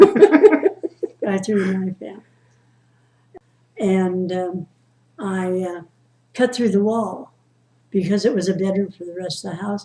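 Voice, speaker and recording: Speaking at a very slow pace with long, frequent pauses, a woman has a medium pitch, a dark, mellow tone, a somewhat breathy quality, ordinary pitch variation and big swings in loudness. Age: 80s+. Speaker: storyteller. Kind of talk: family storytelling, casual conversation.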